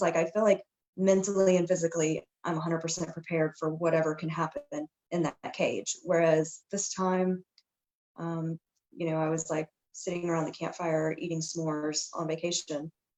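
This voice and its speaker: A woman speaks with an American accent in a normal speaking voice. Her pitch is fairly low, her pace moderate, and her intonation fairly even. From Texas. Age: 30s. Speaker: MMA fighter. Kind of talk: interview.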